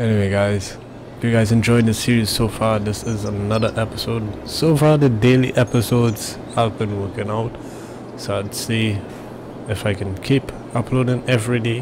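Noticeable background noise behind a man at medium pitch, moderate in pace, his intonation fairly even. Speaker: gamer. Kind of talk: gameplay commentary. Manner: casual.

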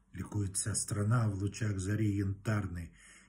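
The voice is somewhat breathy and moves at a very slow pace. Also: man. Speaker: poetry reciter. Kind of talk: poem reading aloud, solemn. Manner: formal, declamatory, slow and measured; reverent, elevated tone. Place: home room. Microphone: phone near.

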